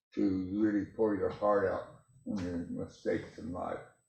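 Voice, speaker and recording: A man speaking very slowly, with audible room echo. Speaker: congregation member. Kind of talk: church sharing. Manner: loud; stammering.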